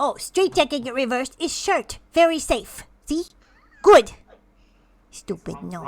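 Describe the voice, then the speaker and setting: A female-sounding, put-on character voice sits high in pitch for a woman and leaves long, frequent pauses. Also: moderate pace. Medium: actual play. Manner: clipped, broken phrasing.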